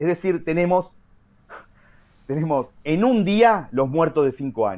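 At a moderate pace, a man talks with very wide pitch swings. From Argentina. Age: 40s. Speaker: journalist and writer; journalist. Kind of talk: interview. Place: home room. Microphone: video call.

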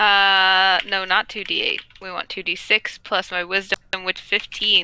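Over light background noise, a woman speaks very slowly in a bright, sharp tone with monotone, flat intonation, the sound dry with no echo. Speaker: role-play player. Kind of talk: tabletop role-play. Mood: playful, amused. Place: home room. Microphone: headset.

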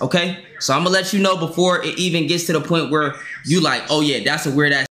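A man's very fast, high-pitched speech with ordinary pitch variation and audible room echo. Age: 20s. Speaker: livestreamer. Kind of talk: casual livestream chat. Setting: livestream with Discord call. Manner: animated. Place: home room.

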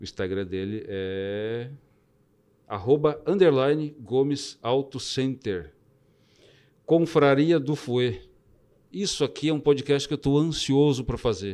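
A man's dark, mellow tone, very slow pace and long, frequent pauses, with lively intonation. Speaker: podcast host. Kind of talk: casual chat. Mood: warm, grateful. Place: studio. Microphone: studio mic.

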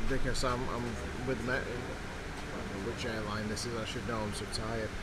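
Loud background noise sits behind a man whose pitch varies in an ordinary way. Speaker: travel vlogger. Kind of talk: casual vlog chat. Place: plane. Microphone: phone near.

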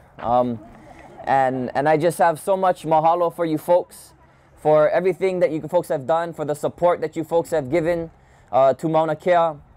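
The speaker has a Hawaiian accent and a moderate pace. Intonation stays fairly even. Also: man, fairly high pitch for a man. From Hawaii (Kona, Big Island). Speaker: activist; guest. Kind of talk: public talk. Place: street. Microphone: handheld.

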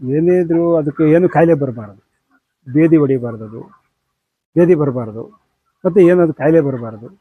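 With a plain, everyday voice and ordinary pitch variation, this man sounds fairly high-pitched. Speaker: poultry farmer. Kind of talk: interview.

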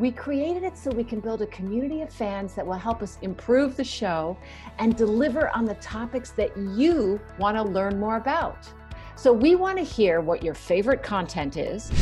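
Over faint background music, a woman with a fairly high voice speaks at a moderate pace, her pitch swinging very widely. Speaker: podcast co-host. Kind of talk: podcast announcement. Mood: cheerful, excited. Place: home room. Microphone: earbuds.

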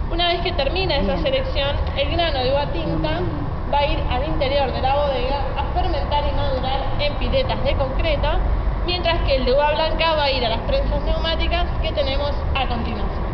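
Loud background noise fills the recording. A woman talks over it at a moderate pace. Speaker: winery tour guide. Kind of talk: guided tour explanation.

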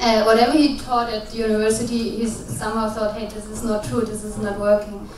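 Over light background noise and audible room echo, a woman talks at a fairly quick pace in a fairly high pitch with monotone, flat intonation. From Germany. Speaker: social business practitioner. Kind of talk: panel discussion. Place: hall. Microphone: handheld.

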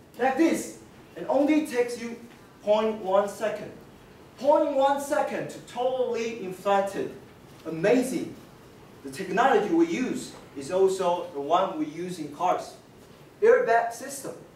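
A man with very wide pitch swings and long, frequent pauses, with audible room echo and light background noise. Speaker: presenter. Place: classroom. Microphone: camera far.

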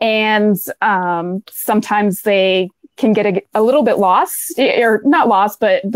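A woman's voice comes through a dry sound with no echo against a quiet background. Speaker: guest. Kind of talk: interview answer. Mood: friendly, smiling. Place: home room.

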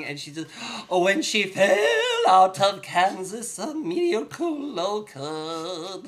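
A man puts on a character voice, pitched high and delivered at a fairly slow pace. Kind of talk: casual talk to camera.

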